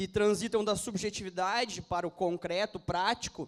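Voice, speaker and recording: A man's voice pitched high for a man, its pitch varying in an ordinary way. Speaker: pastor. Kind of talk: sermon.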